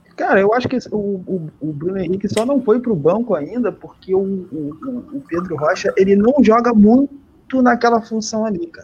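The man's voice is high-pitched, with lively intonation and big swings in loudness. He keeps a moderate pace over noticeable background noise. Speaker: football podcast co-host. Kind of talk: casual chat.

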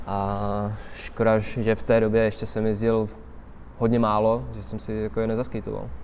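Audible room echo surrounds this voice, which moves at a moderate pace with fairly even intonation. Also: man, fairly low pitch for a man. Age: 20s. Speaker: skateboarder. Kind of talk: casual interview chat. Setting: outdoors under a bridge in winter.

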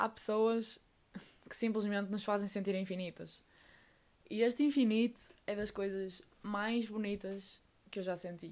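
A woman with a European Portuguese accent at a medium pitch, fairly slow, with fairly even intonation and long, frequent pauses. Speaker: podcaster. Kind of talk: personal monologue.

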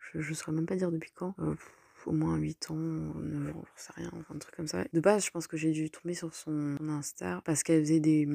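At a moderate pace, a woman speaks with a very deep, low pitch in a dry, close sound with no echo. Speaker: solo podcaster. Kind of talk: casual monologue. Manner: halting.

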